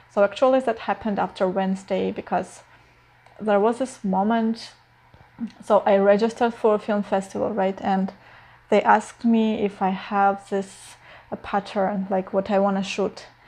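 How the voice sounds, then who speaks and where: A woman with a non-native accent talks at a moderate pace in a medium pitch. Her tone is dark and mellow, her intonation monotone and flat. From Eastern Europe. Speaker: filmmaker vlogger. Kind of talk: personal vlog. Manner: hesitant, many fillers.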